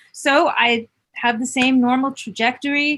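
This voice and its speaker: A woman talks in a New York accent with a bright, sharp tone. Her pitch is high, with ordinary variation. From New York City. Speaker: music producer and songwriter. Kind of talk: interview.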